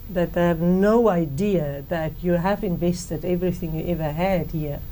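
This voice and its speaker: A woman at a moderate pace with fairly even intonation, plus audible room echo. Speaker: politician, party co-leader. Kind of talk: interview.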